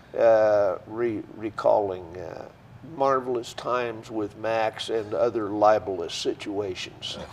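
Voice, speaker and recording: A man talks at a very slow pace with fairly even intonation while noticeable background noise carries on. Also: medium pitch for a man. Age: 70s. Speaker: author and newspaper columnist. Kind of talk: casual chat.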